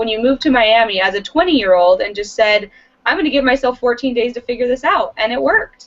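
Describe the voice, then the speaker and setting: A woman has a normal speaking voice, pitched fairly high. Her intonation is lively. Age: 20s. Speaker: talk show host. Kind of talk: interview.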